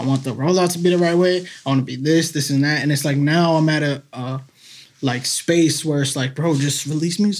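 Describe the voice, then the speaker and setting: With an American accent, a man talks at a fairly quick pace in an ordinary speaking voice, fairly high in pitch and fairly even in intonation. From Massachusetts (Salem). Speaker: local songwriter and musician. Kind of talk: casual chat. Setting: studio.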